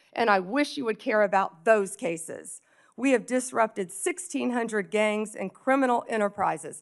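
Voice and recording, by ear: Doing a put-on character voice, a woman sounds hoarse, speaking at a medium pitch and a moderate pace with lively intonation.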